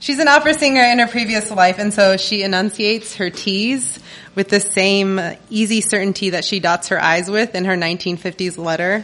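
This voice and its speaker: An unremarkable speaking voice from a woman, medium in pitch, at a moderate pace with ordinary pitch variation. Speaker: comedian. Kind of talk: live storytelling. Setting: stage with audience.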